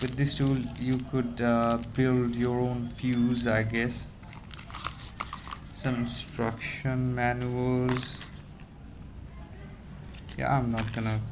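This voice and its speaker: Speech with a non-native accent moves at a very slow pace, with long, frequent pauses and a monotone, flat intonation. Noticeable background noise runs underneath. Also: man. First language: not English. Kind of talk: casual talk to camera. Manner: hesitant, many fillers.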